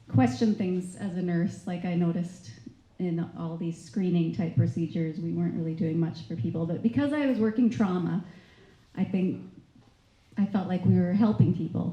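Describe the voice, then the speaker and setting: Soft-spoken, somewhat breathy delivery with a Canadian accent, a dark, mellow tone, lively intonation, a moderate pace and audible room echo. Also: woman. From Canada. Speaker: nurse. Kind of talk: testimony. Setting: stage with audience.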